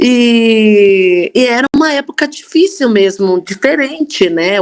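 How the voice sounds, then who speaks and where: A woman talks at a fairly high pitch. Her voice has very wide pitch swings. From Brazil, Campinas (São Paulo state). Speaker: church member sharing faith story. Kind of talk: testimony.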